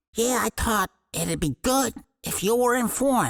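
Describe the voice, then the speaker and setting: Putting on a character voice, a man talks at a moderate pace in an extremely high pitch with ordinary pitch variation, the sound dry and close with no echo. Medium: audio drama. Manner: nervous, placating.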